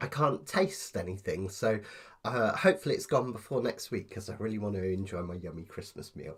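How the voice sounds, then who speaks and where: A man with a British accent, fairly low-pitched and somewhat breathy, at a fairly quick pace with ordinary pitch variation and big swings in loudness, in a very clean recording with a silent background. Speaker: ukulele teacher. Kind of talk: tutorial. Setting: live stream.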